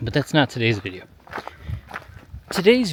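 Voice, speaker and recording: A man talks amid noticeable background noise. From US Midwest, Chicago area. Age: 40s. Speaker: vlogger. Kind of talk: casual vlog monologue while walking. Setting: outdoors on a gravel road. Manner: conversational, hesitant with fillers.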